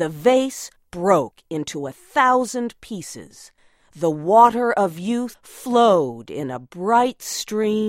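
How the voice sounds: Lively intonation in a natural reading voice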